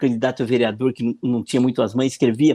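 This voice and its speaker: This man has a medium pitch and a dark, mellow tone. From Brazil, northern Paraná (Arapongas). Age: 60s. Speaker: political marketing consultant. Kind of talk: interview, casual chat.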